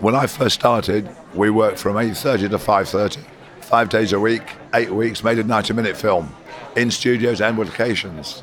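A man's fairly low-pitched voice at a moderate pace, with fairly even intonation and very even loudness, plus audible room echo and noticeable background noise. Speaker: cinematographer. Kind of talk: interview.

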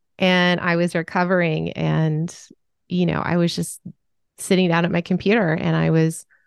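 A woman's fairly low voice in an Upper Midwest accent, at a fairly slow pace. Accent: Upper Midwest American. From US Midwest. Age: 40s. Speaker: author and sensitivity expert. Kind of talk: casual interview.

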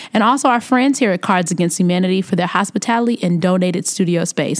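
A woman with a Chicago accent at a medium pitch, very fast, with hardly any pauses. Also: very even loudness. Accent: Chicago American. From US Midwest. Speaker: podcast host. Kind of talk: casual interview. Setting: studio.

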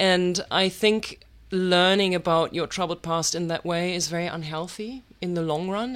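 In a very clean recording with a silent background, a woman with a German accent speaks at a fairly low pitch with fairly even intonation. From Germany. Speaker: writer and artist. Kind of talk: interview.

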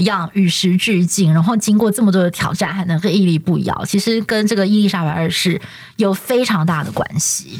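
A woman speaks in a Taiwanese accent at a medium pitch. Her intonation is lively. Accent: Taiwanese Mandarin. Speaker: TV news anchor and podcast host. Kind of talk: casual chat. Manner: smooth, even delivery.

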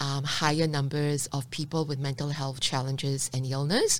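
A woman's voice on a very clean recording, silent background. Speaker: social entrepreneur. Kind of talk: interview conversation. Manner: laughs often.

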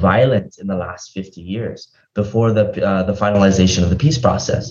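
A somewhat breathy man at a moderate pace with ordinary pitch variation. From Hawaii. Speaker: state legislator, former diplomat. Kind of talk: interview.

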